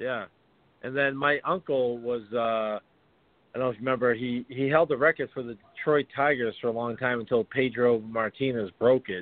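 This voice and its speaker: A man with an ordinary speaking voice keeps to a moderate pace, medium pitch and fairly even intonation. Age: 40s. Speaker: retired pro hockey player. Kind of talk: casual chat.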